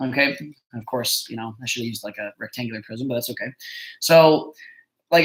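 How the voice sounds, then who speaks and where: The pace of this man's speech is fairly quick. Ordinary pitch variation runs through it. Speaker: middle school math teacher. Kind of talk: tutorial. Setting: live stream. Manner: fast.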